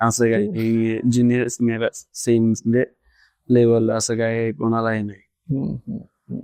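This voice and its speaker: The voice has a dark, mellow tone. Its intonation is monotone and flat. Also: man, medium pitch for a man. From Raigad district, Maharashtra, India. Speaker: professional kabaddi player. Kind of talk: interview answer. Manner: soft-spoken.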